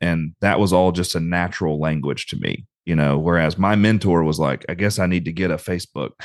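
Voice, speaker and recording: Against a quiet background, a man with a Southern US accent speaks in a very deep, low voice with fairly even intonation. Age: 30s. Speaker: retriever breeder and trainer. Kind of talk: casual chat.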